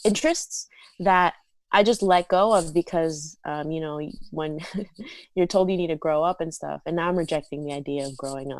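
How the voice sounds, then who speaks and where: An ordinary speaking voice at a moderate pace, with fairly even intonation and big swings in loudness. The recording is very clean with a silent background. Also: woman, fairly low pitch for a woman. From South Florida. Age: 20s. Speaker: content creator and musician. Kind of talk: casual chat. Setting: podcast interview.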